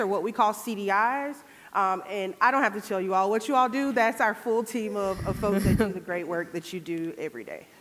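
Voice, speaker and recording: A woman with a slight Southern Georgia accent talks in a fairly high voice. She moves at a fairly quick pace with hardly any pauses. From US South, Georgia. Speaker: public health program manager. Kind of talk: conference presentation. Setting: stage with audience.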